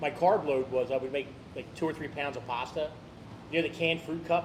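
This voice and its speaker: Fairly quick, fairly even delivery over noticeable background noise. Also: man, fairly high pitch for a man. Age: 60s. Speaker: eating challenge podcast host. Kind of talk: casual chat.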